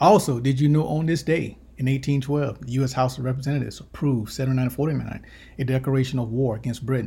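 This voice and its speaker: Somewhat breathy, a man speaks at medium pitch and a fairly quick pace with fairly even intonation. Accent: American. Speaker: podcast host. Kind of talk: scripted intro and news reading.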